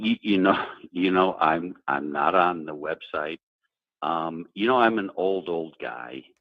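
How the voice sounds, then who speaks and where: Pitch shifts in an ordinary way as the speech moves along at a fairly slow pace. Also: man, very deep, low pitch for a man. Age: 70s. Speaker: caller. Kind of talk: casual chat.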